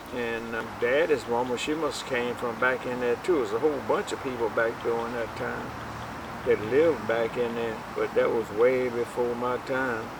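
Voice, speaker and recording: A man with an American accent speaks at a medium pitch and moderate pace. His intonation is fairly even, and there is noticeable background noise. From Virginia, US South. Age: 80s+. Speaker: elder sharing family history. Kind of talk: oral history interview. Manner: halting.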